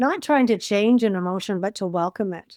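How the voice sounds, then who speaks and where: A woman at medium pitch and moderate pace, with ordinary pitch variation, an unremarkable speaking voice, and a dry, close sound with no echo. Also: very clean recording, silent background. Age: 60s. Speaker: life coach. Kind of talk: casual chat.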